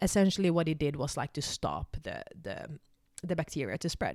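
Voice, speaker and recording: On a very clean recording with a silent background and a dry, close sound with no echo, a woman speaks at a moderate pace in a Swedish accent, her dark, mellow tone sitting at a fairly low pitch with ordinary pitch variation. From Finland (Swedish-speaking Finn). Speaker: spiritual vlogger. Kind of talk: personal testimony. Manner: halting, many fillers.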